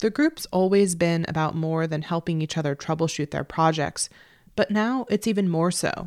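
A woman with an American accent and an ordinary speaking voice, fairly low in pitch with ordinary variation, at a moderate pace, on a very clean recording with a silent background and a dry, close sound with no echo. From New Jersey. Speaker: radio journalist. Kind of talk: scripted narration.

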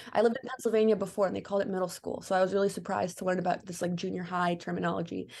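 Against a quiet background, a woman of medium pitch speaks at a very fast pace with monotone, flat intonation. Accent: American. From Chicago, US Midwest. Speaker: filmmaker. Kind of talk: interview.

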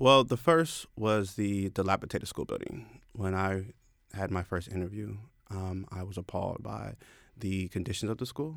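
An ordinary speaking voice from a man, fairly low in pitch, with ordinary pitch variation, a moderate pace and a very clean recording against a silent background. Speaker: poet and former teacher. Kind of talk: interview. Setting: studio.

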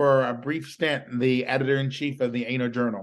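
Man with a Southern accent, medium pitch and monotone, flat intonation over a quiet background. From US South, rural South Carolina. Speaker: political journalist. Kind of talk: interview conversation.

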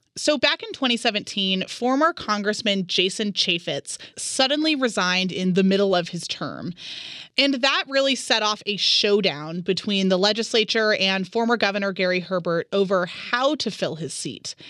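A loud woman at a medium pitch, with a bright, sharp tone, lively intonation and a moderate pace. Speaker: radio host. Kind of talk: radio interview. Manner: loud talker.

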